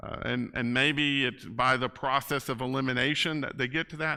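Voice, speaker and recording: A loud man's voice with a bright, sharp tone, on a very clean recording with a silent background. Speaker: Bible class teacher. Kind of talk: Bible class lecture. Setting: church classroom with PA system. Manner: casual, halting with fillers.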